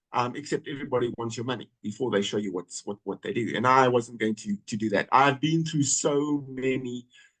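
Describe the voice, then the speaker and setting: A man with a medium-pitched voice speaks fairly quickly with hardly any pauses and ordinary pitch variation, in a dry, close recording with no echo. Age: 60s. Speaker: network marketing member. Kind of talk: testimony. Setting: video call. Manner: halting, many fillers and repeats.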